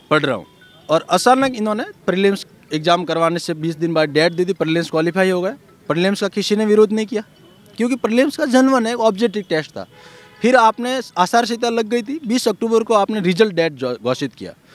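A man speaks at a moderate pace, with a dry sound and no echo. Faint music plays in the background. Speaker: candidate. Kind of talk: interview answer. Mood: aggrieved, earnest complaint. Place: street. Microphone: handheld.

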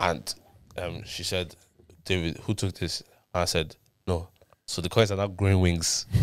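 A man with a very deep, low pitch speaks at a fairly slow pace with fairly even intonation and long, frequent pauses. The sound is dry with no echo, over a quiet background. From Ireland. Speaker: podcast host. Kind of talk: casual banter chat. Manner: informal, slangy. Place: studio. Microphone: studio mic.

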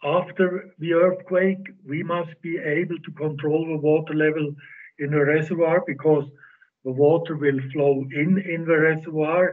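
A man's moderately paced speech, fairly even in intonation, sits over a quiet background. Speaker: presenter. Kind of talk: lecture. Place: home room. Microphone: video call.

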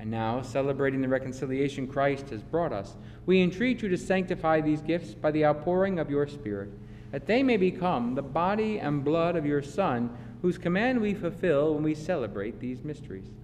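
With a solemn tone yet lively intonation, a man speaks at a moderate pace over light background noise. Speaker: priest. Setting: church. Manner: solemn, measured, reverent; fervent prayerful delivery in the eucharistic prayer. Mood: solemn, measured. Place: church.

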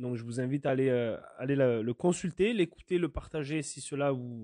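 Here a man talks at a medium pitch and a moderate pace. His tone is dark and mellow. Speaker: podcast host. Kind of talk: solo monologue podcast. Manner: hesitant, many fillers.

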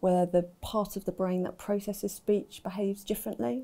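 Dark and mellow, this is a woman's voice. Her intonation stays fairly even. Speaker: university staff member who stammers. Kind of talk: personal account and advice talk. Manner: stammer. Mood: calm, informative. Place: studio.

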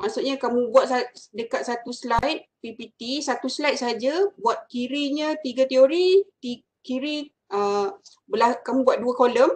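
A woman's high-pitched voice at a fairly slow pace, with ordinary pitch variation. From Malaysia. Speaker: university lecturer. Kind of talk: lecture. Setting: video call. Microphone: video call.

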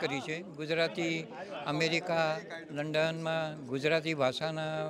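Over crowd noise in the background, a man with a high pitch is heard in a dry sound with no echo. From India. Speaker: event attendee, Gujarati language promoter; guest, newspaper reader. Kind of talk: vox pop interview. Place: hall. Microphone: handheld.

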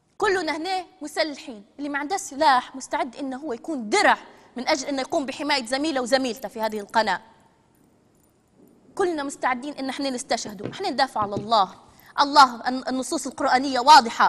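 Speaking with a Libyan accent, a woman uses a high pitch and lively intonation. Her pace is moderate. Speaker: TV presenter. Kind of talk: live TV broadcast address. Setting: TV studio. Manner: hysterical, threatening. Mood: defiant, threatening. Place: studio.

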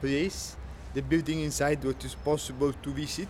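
Against light background noise, a man speaks at a fairly slow pace with an Italian accent. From Italy. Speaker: travel vlogger. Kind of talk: vlog walking tour narration. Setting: outdoors walking around city. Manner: halting, hesitant non-native phrasing. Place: street. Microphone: phone near.

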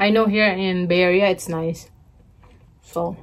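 A fairly slow pace with fairly even intonation. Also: woman. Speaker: mukbang vlogger. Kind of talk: casual vlog chat. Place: home room. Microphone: phone near.

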